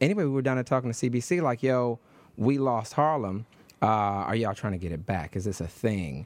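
A man with an unremarkable speaking voice talks at a fairly quick pace with lively intonation in an American accent. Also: medium pitch for a man. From Detroit, US Midwest. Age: 30s. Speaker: radio host and congressional candidate. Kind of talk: radio interview. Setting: radio studio.

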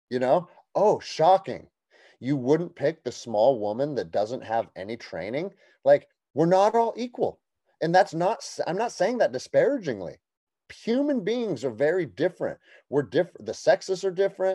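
A man with an American accent talks at a moderate pace in a high voice with very wide pitch swings and a dark, mellow tone. The sound is dry and close with no echo, over a quiet background. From United States. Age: 40s. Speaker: military veteran and gym owner. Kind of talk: casual chat.

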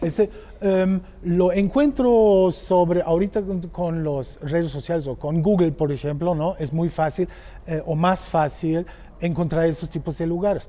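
With a German accent, a man speaks at a fairly slow pace in a high voice with ordinary pitch variation. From Germany. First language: German (speaking Spanish). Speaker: motorcycle tour operator. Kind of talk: casual chat. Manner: halting.

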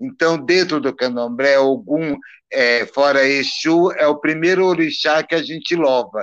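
At a fairly slow pace, a man with a fairly high pitch speaks with very even loudness and ordinary pitch variation. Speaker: Candomblé priest. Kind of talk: casual interview on a live stream.

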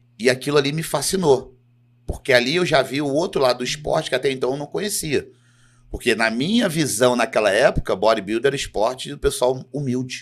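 Fairly quick and fairly high-pitched, a man talks in an ordinary speaking voice. His pitch varies in an ordinary way. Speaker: professional bodybuilder. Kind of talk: casual chat.

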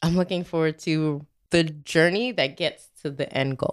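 Her pitch is very deep and low. The speaker is a woman. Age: 30s. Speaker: professor and podcast co-host. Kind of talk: casual chat. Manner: animated.

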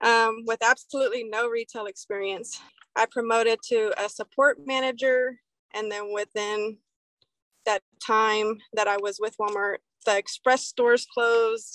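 A woman's fairly high voice with a Texan accent, fairly even intonation and a fairly slow pace, in a dry, close sound with no echo. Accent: Texan American. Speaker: retail operations manager. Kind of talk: casual interview.

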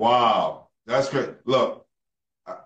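A man with a New York accent talks in an animated, bright and sharp tone. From New York City. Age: young. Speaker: podcast host. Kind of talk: interview.

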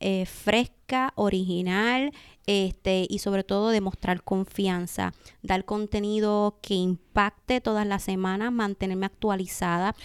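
A woman has an ordinary speaking voice at a medium pitch, speaking fairly slowly with fairly even intonation. The sound is dry and close with no echo, on a very clean recording with a silent background. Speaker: e-commerce specialist and entrepreneur. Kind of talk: interview.

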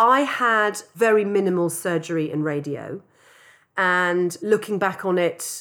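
A woman with an English accent talks at a fairly low pitch with ordinary pitch variation, recorded very cleanly over a silent background. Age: 50s. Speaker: advertising entrepreneur. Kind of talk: interview.

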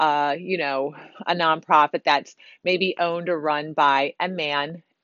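In an American accent, a woman speaks at a fairly slow pace with fairly even intonation and a plain, everyday voice. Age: 40s. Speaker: podcast host and salon owner. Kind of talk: solo podcast monologue. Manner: conversational with many fillers.

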